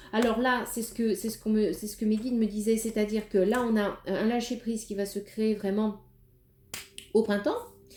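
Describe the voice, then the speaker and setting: A woman speaks at a moderate pace with a fairly high pitch and a monotone, flat intonation. There is noticeable background noise. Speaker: tarot card reader. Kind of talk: tarot reading. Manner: hesitant, many fillers.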